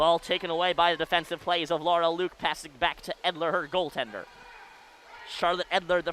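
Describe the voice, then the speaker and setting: At a fairly quick pace, a man with a high pitch speaks in fairly even intonation, with a dry, close sound without echo and noticeable background noise. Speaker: college radio sports play-by-play announcer. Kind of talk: live commentary. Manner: loud; fast.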